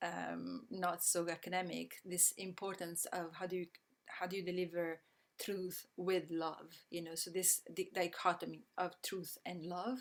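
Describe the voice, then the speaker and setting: In an Italian accent, a woman talks at a fairly slow pace with a fairly low pitch. Her delivery is monotone and flat, with vocal fry. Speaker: systems change educator. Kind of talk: online presentation. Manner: halting, many fillers.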